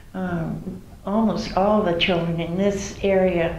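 A woman's flat, monotone voice with an American accent, with audible room echo and light background noise. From New Bedford, Massachusetts. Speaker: oral history interviewee. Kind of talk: oral history interview answer. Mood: warm, reminiscing. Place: home room.

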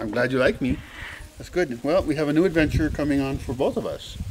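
A man talks at a fairly quick pace. His pitch is medium.

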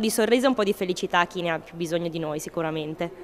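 A woman speaks at a very fast pace, with light background noise behind her. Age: 20s. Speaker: carnival queen. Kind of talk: interview. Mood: cheerful, smiling. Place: hall. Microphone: handheld.

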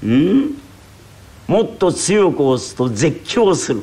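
With very wide pitch swings, a man speaks at a high pitch over noticeable background noise. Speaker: rakugo storyteller. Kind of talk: traditional comic storytelling performance.

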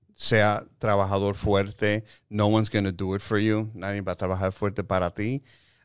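A man speaks at a fairly slow pace in a fairly low, monotone voice with flat intonation. The sound is dry with no echo, and the background is quiet. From Chicago, Puerto Rican family. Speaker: film composer and music producer; guest. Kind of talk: casual interview; interview answer. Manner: halting, mixing Spanish and English. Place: meeting room. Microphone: studio mic.

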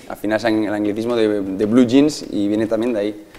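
Dark, mellow tone in a Madrid accent. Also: man. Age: 30s. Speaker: physiotherapist living abroad; local guide. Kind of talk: casual interview.

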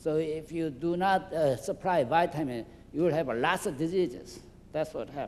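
A man with a Korean accent speaks at a moderate pace. His pitch is fairly high, with ordinary pitch variation. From South Korea. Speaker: physician; guest lecturer. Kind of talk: lecture. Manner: halting. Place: hall. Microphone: handheld.

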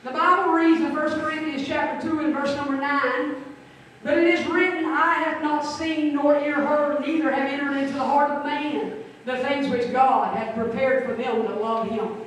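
Strong room echo and light background noise surround a woman speaking at a high pitch. She keeps a moderate pace with ordinary pitch variation. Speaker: pastor. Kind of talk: funeral sermon. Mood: solemn, emotional eulogy. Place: church.

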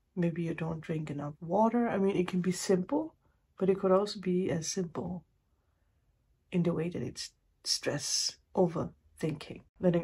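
Fairly low in pitch, a woman speaks at a moderate pace with ordinary pitch variation. Her tone is dark, mellow and somewhat breathy. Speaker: tarot reader. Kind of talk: casual reading commentary. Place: home room. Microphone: phone near.

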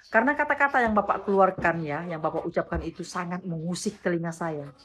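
There is light background noise behind a woman with a fairly low pitch. Her intonation is lively. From West Kalimantan, Indonesia (Dayak, Sanggau); West Kalimantan, Indonesia. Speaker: vlogger. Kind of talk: response video monologue. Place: home room. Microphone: phone near.

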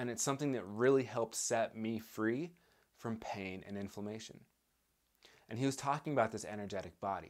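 A man's speech keeps a moderate tempo and normal pitch movement, with the background staying quiet. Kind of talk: educational talk to camera. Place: home room.

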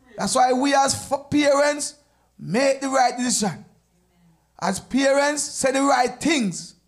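With a Jamaican accent, a man speaks at a very slow pace in an extremely high pitch with ordinary pitch variation against a quiet background. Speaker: church deacon; evangelist teaching a lesson. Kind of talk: church Bible study discussion; sermon. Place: church. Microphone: handheld.

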